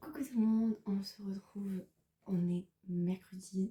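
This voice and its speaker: A woman speaks at a fairly slow pace with a medium pitch and ordinary pitch variation. Her tone is bright and sharp. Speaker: student vlogger. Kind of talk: vlog narration. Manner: casual, hesitant fillers.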